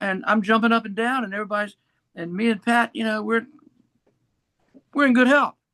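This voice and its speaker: A man speaks at a fairly quick clip in a raised, projected voice, high-pitched for a man, with a bright, sharp tone, fairly even intonation and long, frequent pauses. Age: 70s. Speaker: local band musician. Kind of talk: casual chat.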